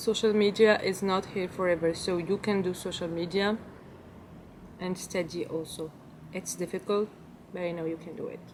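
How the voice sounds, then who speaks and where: A woman with a French accent, monotone and flat in intonation, with long, frequent pauses. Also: medium pitch for a woman, moderate pace. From Belgium. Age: 20s. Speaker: lifestyle vlogger. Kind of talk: casual Q&A vlog. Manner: halting, non-fluent English.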